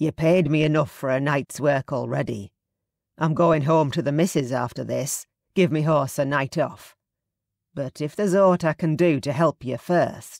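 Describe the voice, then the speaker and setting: This put-on character voice sounds raspy, moving at a moderate pace with ordinary pitch variation, captured in a very clean recording with a silent background. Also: woman, very deep, low pitch for a woman. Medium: read story. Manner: terse, plain-spoken.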